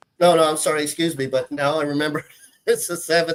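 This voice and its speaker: An unremarkable speaking voice with an American accent at a fairly quick pace. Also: man. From Texas, Houston. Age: 40s. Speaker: guitarist. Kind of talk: casual chat.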